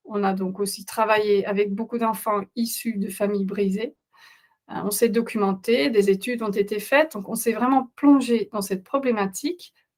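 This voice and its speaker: A woman speaks at a fairly high pitch. Her intonation stays fairly even at a moderate pace. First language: Dutch (speaking French). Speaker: parenting coach. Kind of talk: webinar presentation. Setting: online webinar. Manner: halting, many hesitations.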